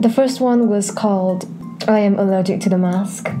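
A woman speaks at a fairly slow pace with ordinary pitch variation. Music plays in the background. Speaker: artist commentary youtuber. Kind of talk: casual vlog chat. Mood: sarcastic, annoyed but playful. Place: home room. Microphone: handheld.

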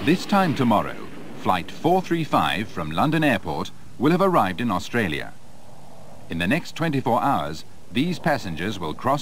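A medium-pitched man's voice with vocal fry and very wide pitch swings, at a moderate pace. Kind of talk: 1980s documentary promo narration. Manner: formal, measured, authoritative; polished, clear, scripted delivery.

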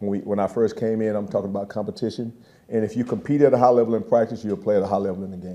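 Talking very fast, a man keeps a fairly even intonation and a dark, mellow tone. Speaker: football position coach. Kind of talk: press conference answer. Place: hall. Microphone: podium.

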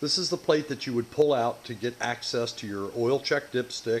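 Amid light background noise, a man talks at a moderate pace with ordinary pitch variation. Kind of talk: tutorial. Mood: relaxed, mildly humorous. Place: workshop.

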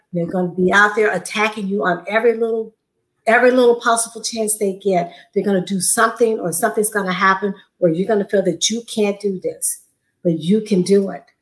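Pitched medium, a woman's voice moves at a fairly quick pace. Her intonation is fairly even. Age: 60s. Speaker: weight-loss program participant; interview guest. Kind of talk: casual interview chat. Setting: video call. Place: home room.

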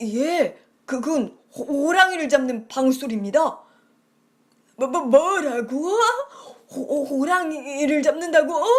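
At a very slow pace, a woman speaks in a high pitch with lively intonation. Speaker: storyteller. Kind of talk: children's story reading.

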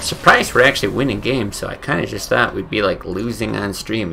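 Crowd noise fills the background. A man is speaking. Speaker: streamer. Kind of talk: casual gameplay commentary. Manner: casual, conversational. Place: home room.

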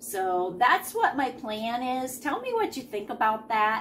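A woman speaks at a very slow pace with lively intonation over light background noise. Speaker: reseller vlogger. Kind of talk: casual vlog chat. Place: home room. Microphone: phone near.

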